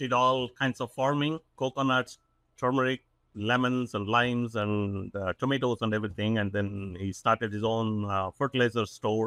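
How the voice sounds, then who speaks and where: A man with an Indian accent talks in a medium pitch with a bright, sharp tone and ordinary pitch variation. The sound is dry and close with no echo, over a quiet background. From South India. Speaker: business owner, CEO. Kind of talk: podcast interview. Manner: hesitant, many fillers.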